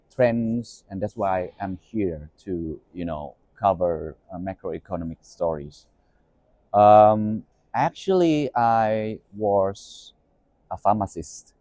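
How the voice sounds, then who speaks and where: In a Thai accent, a man speaks at a very slow pace with a dark, mellow tone, a fairly low pitch and ordinary pitch variation, recorded very cleanly against a silent background with a dry, close sound and no echo. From Thailand, Bangkok. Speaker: media executive and podcast host. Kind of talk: interview.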